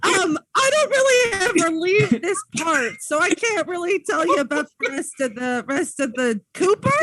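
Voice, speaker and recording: A man puts on a character voice at an extremely high pitch. He keeps a moderate pace with hardly any pauses. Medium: actual play. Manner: friendly, meek.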